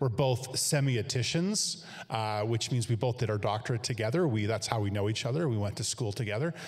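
Against a quiet background, a man with a Canadian accent talks at a fairly quick pace with hardly any pauses, his medium-pitched, somewhat breathy voice keeping very even loudness and ordinary pitch variation. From Canada. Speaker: church staff, interviewer. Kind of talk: interview. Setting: church studio, video link. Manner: halting, many fillers. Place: home room.

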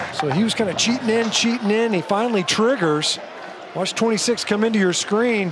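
A man with a high pitch speaks at a moderate pace in a relaxed tone, his loudness very even and his pitch variation ordinary, with noticeable background noise. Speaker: color analyst. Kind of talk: live sports commentary, analytical. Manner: conversational, explanatory, relaxed and knowing.

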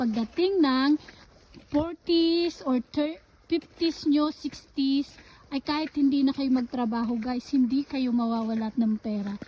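A woman speaks at a fairly slow pace. Her voice sits high in pitch, with ordinary pitch variation. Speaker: vlogger. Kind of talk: casual vlog.

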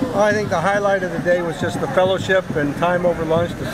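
A man talking at a very fast pace over loud background noise. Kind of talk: interview answer. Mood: warm, appreciative. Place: street. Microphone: phone near.

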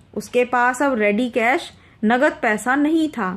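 A woman speaks with a high pitch. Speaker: English teacher explaining a textbook lesson. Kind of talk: lecture.

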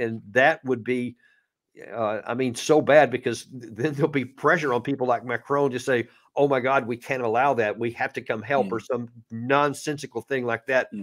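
Against a quiet background, a man with a Texan accent speaks at a moderate pace with fairly even intonation. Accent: Texan American English. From Texas. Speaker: retired army officer and commentator; guest commentator. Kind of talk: live-stream interview. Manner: hesitant, repeats words. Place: home room. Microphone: studio mic.

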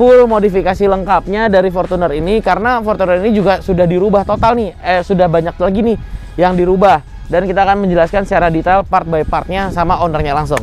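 Over faint background music, a man talks at a very fast pace in a high voice, the sound dry with no echo. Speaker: channel host. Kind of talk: car review presentation. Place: street. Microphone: lapel.

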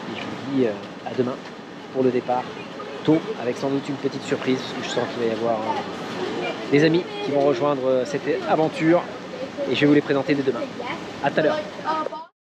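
Loud background noise surrounds a fairly quick delivery with a dry sound and no echo. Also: man. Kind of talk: casual vlog chat. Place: street. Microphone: phone near.

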